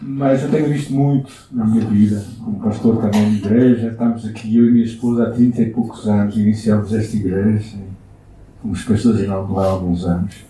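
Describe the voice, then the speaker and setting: A man with a European Portuguese accent, medium pitch and a dark, mellow, somewhat breathy tone at a moderate pace, with audible room echo. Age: 60s. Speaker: pastor. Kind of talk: sermon. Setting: church.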